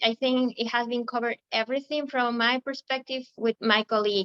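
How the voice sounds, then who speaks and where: A woman speaks at a high pitch with fairly even intonation. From Ecuador. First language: Spanish. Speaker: recruiting manager. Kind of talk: webinar presentation. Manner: halting, many fillers.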